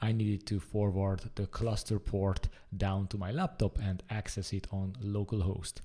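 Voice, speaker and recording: A man's fairly low, somewhat breathy voice with a dark, mellow tone, fairly even intonation and a moderate pace, against a quiet background. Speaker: presenter. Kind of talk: tutorial.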